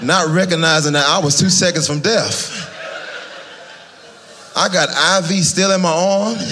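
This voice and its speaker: With an American accent, a man talks at a moderate pace in a high pitch with ordinary pitch variation over noticeable background noise. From Fayetteville, North Carolina. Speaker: stand-up comedian. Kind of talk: live stand-up comedy set. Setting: live audience in church.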